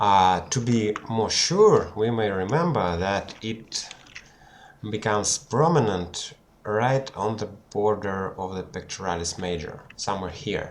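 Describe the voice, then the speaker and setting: Noticeable background noise sits behind a man with a non-native accent. He speaks fairly slowly in a fairly low pitch with ordinary pitch variation. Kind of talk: anatomy tutorial homework. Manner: hesitant, unprepared.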